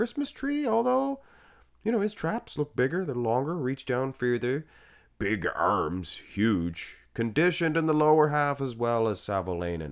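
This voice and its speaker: On a very clean recording with a silent background, a man with a Canadian accent speaks fairly slowly at medium pitch with very wide pitch swings. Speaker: bodybuilding commentator. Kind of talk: casual commentary. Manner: animated.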